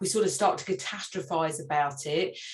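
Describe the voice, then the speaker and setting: The woman's pitch rises and falls in an ordinary way. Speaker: parenting resilience workshop facilitator. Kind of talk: online workshop presentation. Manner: fast, self-correcting with many fillers.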